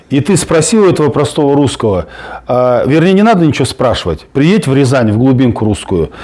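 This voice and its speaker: A man's fairly high, dark and mellow voice, fairly quick, with lively intonation. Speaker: political activist. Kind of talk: heated debate. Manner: halting, many fillers.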